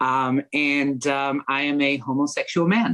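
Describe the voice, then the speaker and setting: A man with an American accent speaks with ordinary pitch variation in a dry, close sound with no echo. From Miami, Florida. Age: 30s. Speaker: podcast guest. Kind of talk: casual podcast chat.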